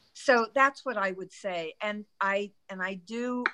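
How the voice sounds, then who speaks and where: A woman speaks with a bright, sharp tone. Her pitch varies in an ordinary way. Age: 70s. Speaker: network marketing member, angel investor. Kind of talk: testimony on group video call.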